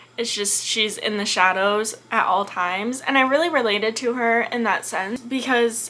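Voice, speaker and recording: A woman's high, animated voice over noticeable background noise. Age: 20s. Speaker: book youtuber. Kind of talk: casual chat.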